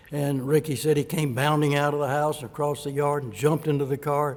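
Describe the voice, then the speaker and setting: In an Alabama accent, a man talks at a moderate pace with a fairly high pitch. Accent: Southern US (Alabama). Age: 70s. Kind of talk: personal testimony talk.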